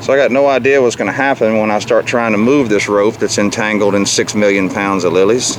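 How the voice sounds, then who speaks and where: A man with a fairly low pitch talks at a fairly quick pace, with hardly any pauses and fairly even intonation. His loudness stays very even over noticeable background noise. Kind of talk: casual narration while filming.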